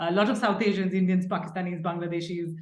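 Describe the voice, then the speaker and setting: A woman talks at a medium pitch, her voice somewhat breathy. Audible room echo surrounds her. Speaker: professor. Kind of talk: lecture. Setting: seminar with audience.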